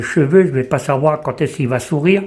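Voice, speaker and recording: A man speaks with ordinary pitch variation. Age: 60s. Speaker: visually impaired person giving testimony. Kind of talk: testimony. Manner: halting.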